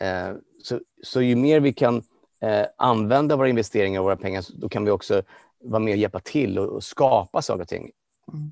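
A man's medium-pitched voice at a fairly quick pace, with ordinary pitch variation, a dry, close sound with no echo, and a quiet background. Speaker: life coach. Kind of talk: interview. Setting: video call. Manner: halting.

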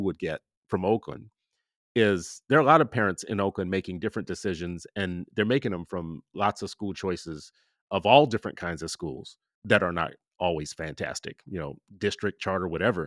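A man with a normal speaking voice talks at a fairly low pitch with lively intonation. The recording is very clean, dry and close, with no echo and a silent background. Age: 50s. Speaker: podcast host and parent advocate. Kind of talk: interview conversation.

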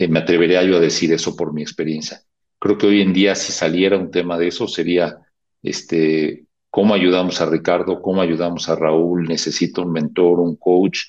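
At a moderate pace, a man with a very deep, low voice speaks in a monotone, flat intonation. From Mexico City. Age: 60s. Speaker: corporate HR executive. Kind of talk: interview conversation. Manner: halting with fillers.

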